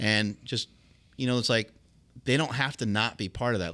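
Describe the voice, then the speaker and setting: In an ordinary speaking voice, a man talks at a fairly quick pace with ordinary pitch variation on a very clean recording with a silent background. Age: 40s. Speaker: former champion powerlifter and fitness entrepreneur. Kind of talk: casual interview conversation.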